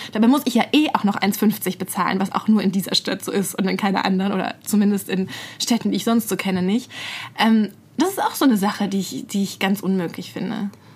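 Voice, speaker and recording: A woman talks at a fairly quick pace. Her voice is somewhat breathy. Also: medium pitch for a woman, ordinary pitch variation. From Bad Mergentheim, Baden-Württemberg, Germany. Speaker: podcast co-host, journalist. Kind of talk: casual chat. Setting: studio.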